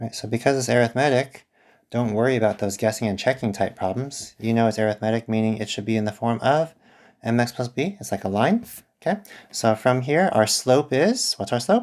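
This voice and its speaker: A man speaks at a fairly quick pace in a medium pitch, with ordinary pitch variation. It's a normal speaking voice on a very clean recording with a silent background. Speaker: math teacher. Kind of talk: tutorial.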